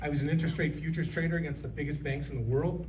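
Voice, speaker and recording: A man is speaking. Audible echo from the room surrounds his voice. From Illinois. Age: 60s. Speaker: political candidate. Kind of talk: candidate forum speech.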